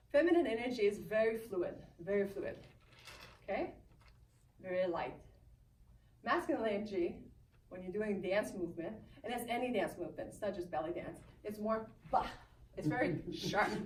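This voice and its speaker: Speaking with a French Canadian accent, this voice is somewhat breathy and broken up by long, frequent pauses. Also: woman, medium pitch for a woman, moderate pace. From Canada. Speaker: belly dance teacher. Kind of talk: live speech to an audience.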